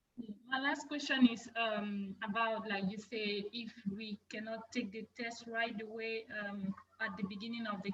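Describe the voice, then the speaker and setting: With a French accent, a woman speaks fairly slowly at a fairly high pitch and a fairly even intonation. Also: big swings in loudness. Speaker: student. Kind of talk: casual chat. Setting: video call.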